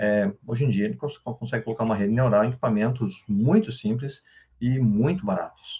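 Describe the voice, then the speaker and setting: A man talks at a medium pitch with a somewhat breathy quality. His pitch swings very widely. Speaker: AI expert speaker. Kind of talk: workshop lecture. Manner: fast.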